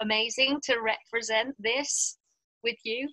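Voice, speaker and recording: A woman with a southern English accent speaks fairly slowly at a high pitch in a bright, sharp tone, her intonation fairly even and the sound dry and close with no echo. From England. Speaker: women's spiritual teacher. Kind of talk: interview.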